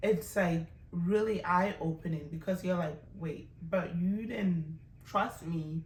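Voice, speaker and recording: With audible room echo, a woman in an African accent speaks in an animated tone. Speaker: language teacher. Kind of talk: tutorial.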